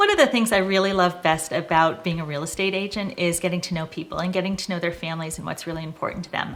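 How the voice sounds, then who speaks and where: Talking at a very fast pace with hardly any pauses, a woman with an American accent and a fairly low pitch keeps her intonation fairly even. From Boston area, US Northeast. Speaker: real estate agent. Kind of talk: casual personal introduction to camera. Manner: conversational with frequent 'um' fillers.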